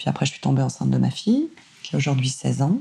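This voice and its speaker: A very fast-talking woman with noticeable background noise. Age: 40s. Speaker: singer and voice actor. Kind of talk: interview conversation. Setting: at home, seated in bedroom. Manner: energetic, extroverted.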